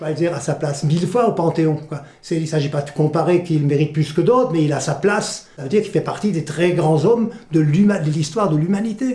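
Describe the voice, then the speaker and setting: Over noticeable background noise, a man with a fairly high pitch talks with hardly any pauses. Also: ordinary pitch variation, fairly quick pace. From France, Alsace (village near Gunsbach). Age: 70s. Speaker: volunteer museum guide, retired journalist. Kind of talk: interview testimony. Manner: animated, passionate; halting, repeats words.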